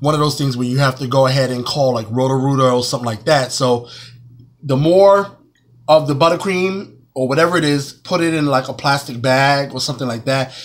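His pitch varies an ordinary amount as he talks at a fairly quick pace. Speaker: cake decorating teacher. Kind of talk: tutorial. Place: kitchen. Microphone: phone near.

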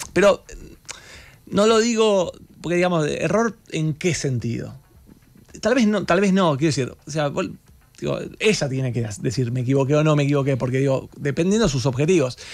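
With faint music in the background, a man of fairly high pitch talks at a moderate pace, his intonation lively and his pauses long and frequent. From Argentina. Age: 40s. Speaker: economist; guest. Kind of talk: radio interview. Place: studio. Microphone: studio mic.

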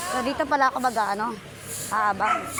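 With noticeable background noise behind her, a woman talks at a fairly quick pace with ordinary pitch variation. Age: 40s. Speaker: vlogger. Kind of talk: casual vlog narration. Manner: animated.

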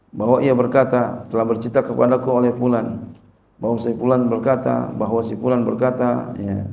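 The intonation is monotone and flat at a moderate pace. Audible room echo surrounds the voice. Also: man, medium pitch for a man. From Indonesia. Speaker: Islamic cleric teaching a hadith text; religious teacher. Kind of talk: religious lecture, reading and explaining Arabic text. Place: hall. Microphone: podium.

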